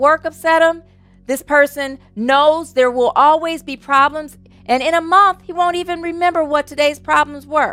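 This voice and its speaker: With music in the background, a woman speaks in a raised, projected voice at a moderate pace with ordinary pitch variation, the sound dry and close with no echo. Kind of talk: fervent prayer of thanksgiving, spoken aloud in a church service. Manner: rhythmic, repetitive, heartfelt, affirming, building with each thank-you.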